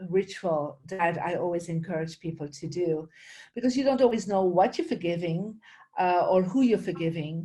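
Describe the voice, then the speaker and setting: This woman's voice sits at a medium pitch, with a dark, mellow tone and a somewhat breathy quality. Her pitch variation is ordinary, and she keeps a moderate pace. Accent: Flemish. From Belgium, Flemish region. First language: Dutch. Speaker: spiritual teacher and feng shui expert. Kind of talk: interview.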